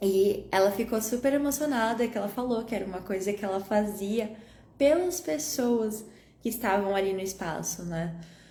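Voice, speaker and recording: With audible room echo, a woman speaks in a calm, gentle tone at a moderate pace and medium pitch, her intonation lively. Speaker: holistic wellness coach. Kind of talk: live stream talk. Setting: Instagram live.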